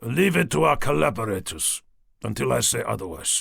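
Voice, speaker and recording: In a raspy, put-on character voice, a man speaks at a moderate pace with a fairly low pitch. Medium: read story. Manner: curt, commanding.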